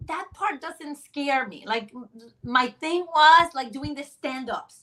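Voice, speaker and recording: A woman with a Spanish accent speaks in a bright, sharp tone. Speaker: sideline reporter. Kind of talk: interview. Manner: halting.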